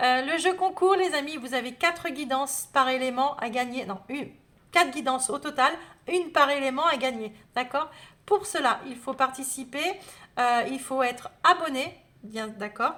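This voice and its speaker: A woman's high-pitched, bright, sharp voice, raised and projected, with big swings in loudness and a fairly slow pace. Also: ordinary pitch variation. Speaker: tarot reader. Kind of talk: astrology guidance video. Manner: hesitant, many fillers.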